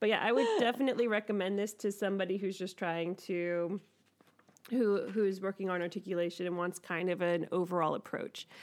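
Speaking in a normal speaking voice at a medium pitch, a woman moves at a fairly quick pace with fairly even intonation. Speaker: podcast host. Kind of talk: casual chat.

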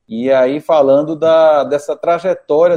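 A man talks with fairly even intonation. His tone is dark and mellow. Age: 50s. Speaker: musician. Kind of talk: interview.

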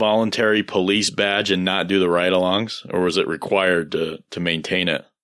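This man has a normal speaking voice, pitched fairly low. He talks at a moderate pace against a quiet background. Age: 30s. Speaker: podcast host. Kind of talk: casual interview conversation.

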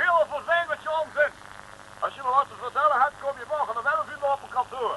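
Putting on a character voice, a man talks fast at an extremely high pitch in a bright, sharp tone with ordinary pitch variation.

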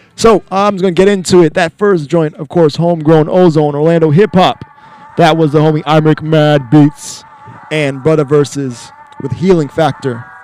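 Noticeable background noise sits behind the speech. A man talks with a fairly high pitch and ordinary pitch variation. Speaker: radio host. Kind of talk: casual radio hosting between songs. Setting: radio studio. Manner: relaxed, rambling, filler-heavy.

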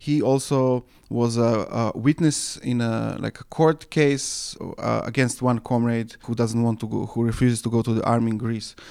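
With a dark, mellow tone, a man talks at medium pitch and a moderate pace with fairly even intonation. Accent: Serbo-Croatian. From Serbia. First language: Serbo-Croatian. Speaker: anarchist journal editor. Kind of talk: interview. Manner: halting, many fillers.

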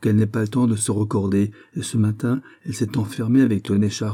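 Fairly even intonation marks an unforced reading voice.

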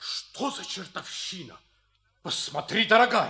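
A man's put-on character voice, high in pitch with big pitch swings, a bright, sharp tone and a fairly slow pace.

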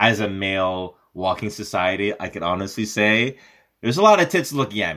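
A man with a Canadian accent speaks in an ordinary speaking voice at a fairly quick pace, his fairly low pitch showing ordinary variation while his loudness swings widely, all on a very clean recording with a silent background. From Montreal, Quebec. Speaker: stand-up comedian and actor. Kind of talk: comedic casual chat.

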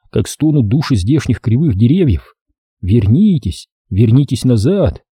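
A quiet background sits behind a natural reading voice with lively intonation.

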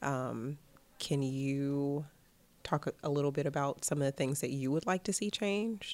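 Fairly slow speech in a Midwestern US accent, with ordinary pitch variation and very even loudness, on a very clean recording with a silent background. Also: woman, very deep, low pitch for a woman. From Cleveland, Ohio. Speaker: abortion rights fellow. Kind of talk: casual interview chat.

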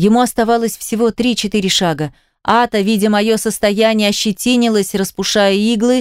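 Against a quiet background, the voice is plain reading aloud with fairly even intonation.

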